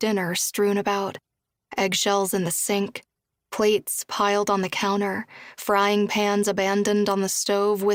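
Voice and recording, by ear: The background stays quiet. A natural voice reads the text aloud.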